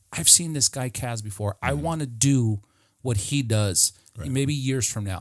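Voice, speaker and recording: In a very clean recording with a silent background and a dry, close sound with no echo, a man uses a normal speaking voice at a medium pitch with lively intonation. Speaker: podcast host. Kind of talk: casual podcast talk.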